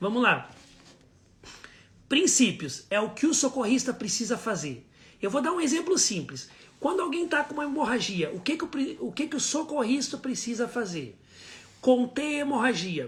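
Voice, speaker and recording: The speaker holds a moderate pace. Long pauses come often. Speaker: first aid instructor. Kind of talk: live online class. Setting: live stream.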